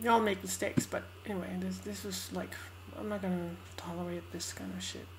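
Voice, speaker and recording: Speaking at a fairly quick pace, a woman uses a very deep, low pitch and monotone, flat intonation against noticeable background noise. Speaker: vlogger. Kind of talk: casual talk to camera. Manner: speaking in a raised pitch. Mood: stressed, venting. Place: home room. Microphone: webcam.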